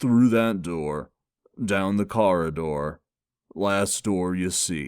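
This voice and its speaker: In a put-on character voice, a soft-spoken man talks very slowly at a very deep, low pitch, in a very clean recording with a silent background. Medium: read story. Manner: quiet, sighing.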